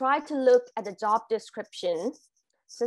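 A woman with a Thai accent speaks at a fairly slow pace with ordinary pitch variation against a quiet background. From Thailand. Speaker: international graduate, corporate employee. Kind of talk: webinar presentation. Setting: video call. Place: home room. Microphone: video call.

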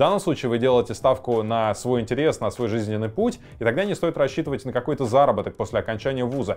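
A man is speaking. He goes at a very fast pace. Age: 30s. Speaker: exam prep tutor. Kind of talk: educational vlog talk. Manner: casual, conversational. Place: studio. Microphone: lapel.

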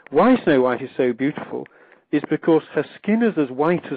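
Showing ordinary pitch variation, a man talks in a fairly high register. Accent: RP. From England. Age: 60s. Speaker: literature professor and author. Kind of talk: interview. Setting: phone call.

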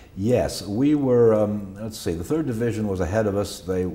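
A man talks fairly slowly, with an ordinary amount of pitch variation. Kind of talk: interview answer. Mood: calm, reflective recollection. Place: studio.

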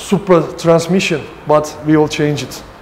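Loud background noise fills the recording. Through it, a man speaks at a very slow pace. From Turkey. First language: Turkish. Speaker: custom car shop owner. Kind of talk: shop tour interview. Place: garage. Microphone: lapel.

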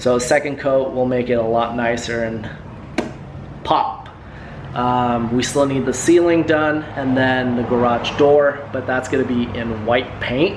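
Over clear background noise, a man at medium pitch speaks at a fairly slow pace with fairly even intonation.

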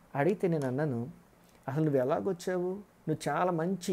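A man speaks with a fairly high pitch. His tone is dark and mellow. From rural Andhra Pradesh, India. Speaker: pastor. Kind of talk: sermon. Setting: online broadcast. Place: home room. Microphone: earbuds.

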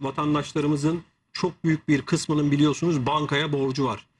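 Against light background noise, a man speaks in a somewhat breathy voice. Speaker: TV guest. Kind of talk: interview answer. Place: studio.

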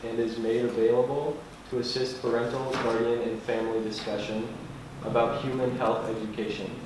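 Over noticeable background noise and strong room echo, a man speaks at a fairly quick pace. His intonation is monotone and flat. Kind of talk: reading aloud a document. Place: hall.

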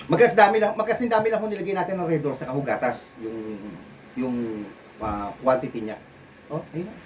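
Over noticeable background noise, a man with fairly high pitch speaks in an animated tone, with very wide pitch swings and big swings in loudness. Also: fairly quick pace. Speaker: bartender and video host. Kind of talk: casual video tutorial.

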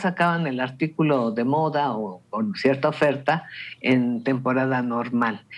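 With a Mexican accent, a man speaks with lively intonation. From Mexico. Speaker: radio panelist. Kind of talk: radio panel discussion. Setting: radio studio. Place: home room. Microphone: video call.

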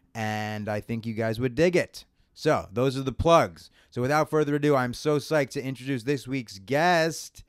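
A man speaks at a moderate pace in an animated tone, his pitch medium with ordinary variation. The recording is very clean, with a silent background. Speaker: comedy podcast host and stand-up comedian. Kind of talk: casual interview chat. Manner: animated, profane.

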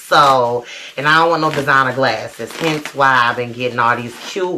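Against light background noise, a woman with a very deep, low pitch talks at a moderate pace. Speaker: lifestyle vlogger. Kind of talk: casual vlog chat. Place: home room. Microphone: camera far.

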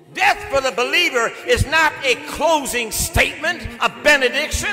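Over music in the background, a man speaks in a raised, projected voice with lively intonation. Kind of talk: eulogy sermon. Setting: church. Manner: powerful, impassioned. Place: church.

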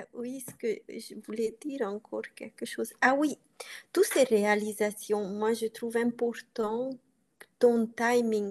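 In a Hungarian accent, a woman speaks very slowly with a fairly high pitch and ordinary pitch variation. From Transylvania, Romania (Hungarian community). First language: Hungarian (speaking French). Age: 40s. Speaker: coaching client. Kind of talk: interview. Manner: halting. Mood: reflective, personal. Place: home room. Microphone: video call.

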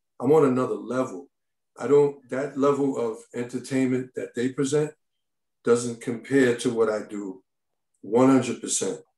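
In a quiet background with audible room echo, a man speaks with an American accent. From Brooklyn, New York; New York. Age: 50s. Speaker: comedy club owner. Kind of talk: community board hearing. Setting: video call. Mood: defensive, insistent. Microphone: video call.

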